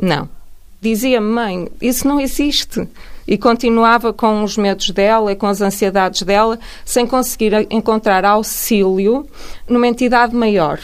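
A woman speaks at a fairly slow pace with a fairly high pitch and ordinary pitch variation. Her loudness stays very even, and she has a plain, everyday voice. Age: 40s. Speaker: neuroscientist. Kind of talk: radio interview. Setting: radio studio.

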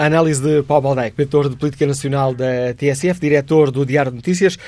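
A dark, mellow tone at a fairly quick pace, with monotone, flat intonation. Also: man. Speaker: radio phone-in moderator. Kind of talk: radio phone-in debate moderation. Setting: radio studio.

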